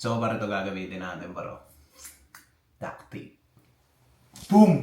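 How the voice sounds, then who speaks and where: A man keeps a moderate pace while audible echo fills the room. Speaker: vlogger. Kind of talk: casual vlog talk. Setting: indoors in a room. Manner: animated. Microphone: muffled sound.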